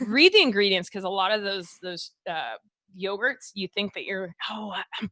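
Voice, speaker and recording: A woman with a Texas accent. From Texas, Waco. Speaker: medical doctor and podcast host. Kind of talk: casual podcast chat. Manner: animated, with frequent fillers and restarts.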